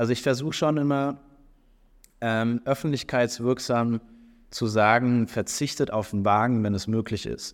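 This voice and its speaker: A man at a medium pitch and moderate pace with ordinary pitch variation, in a very clean recording with a silent background. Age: 30s. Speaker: startup founder and CEO. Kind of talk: interview. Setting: recorded on site at an industry event. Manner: hesitant, many filler sounds.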